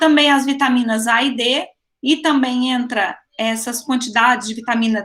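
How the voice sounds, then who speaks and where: A woman's high-pitched, bright, sharp voice at a moderate pace with ordinary pitch variation. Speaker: teacher. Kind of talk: online lecture.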